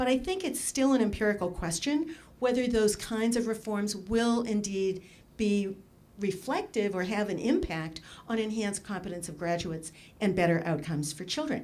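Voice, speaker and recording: A woman speaks with lively intonation. Room echo is audible. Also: medium pitch for a woman. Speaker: education researcher, conference discussant. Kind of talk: conference talk. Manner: fast.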